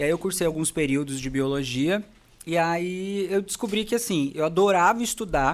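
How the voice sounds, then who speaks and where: A high-pitched man's voice with lively intonation at a moderate pace. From Brazil, interior of São Paulo state. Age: 20s. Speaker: dentist and facial aesthetics specialist. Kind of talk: podcast interview.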